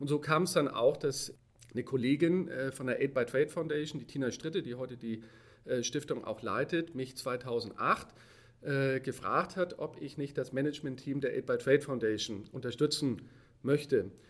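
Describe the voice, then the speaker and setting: A man talks at a moderate pace, his pitch fairly high with ordinary variation. It is an ordinary speaking voice. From Hamburg, northern Germany. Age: 40s. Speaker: corporate sustainability manager. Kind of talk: interview.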